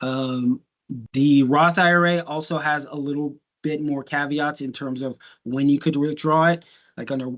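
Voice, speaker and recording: The speech proceeds at a moderate pace over a quiet background. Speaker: financial literacy instructor. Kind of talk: lecture. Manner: casual with many fillers.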